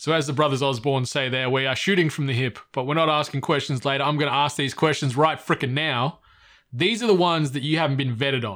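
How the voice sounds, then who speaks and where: Talking at a very fast pace, a man with an Australian accent has a bright, sharp tone and ordinary pitch variation on a very clean recording with a silent background. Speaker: podcast host. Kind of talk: casual chat. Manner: animated.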